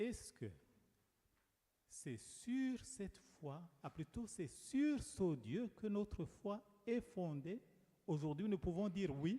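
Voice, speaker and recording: In a Rwandan accent, the speaker moves at a very slow pace with a dark, mellow tone and very wide pitch swings. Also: man. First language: Kinyarwanda (speaking French). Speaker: preacher. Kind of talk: sermon.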